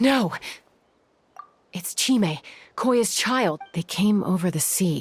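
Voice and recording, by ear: A woman's put-on character voice, slow in pace and lively in intonation, with a slightly husky edge. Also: medium pitch for a woman.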